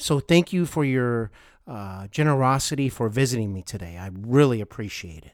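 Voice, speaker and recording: An ordinary speaking voice from a man, medium-pitched, with lively intonation and a moderate pace. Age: 40s. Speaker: podcast host. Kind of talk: interview.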